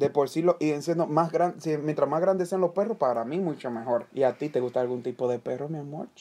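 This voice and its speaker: The voice moves at a fairly quick pace with hardly any pauses. Its pitch variation is ordinary. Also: man, fairly high pitch for a man. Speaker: podcast co-host. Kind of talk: casual chat. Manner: animated.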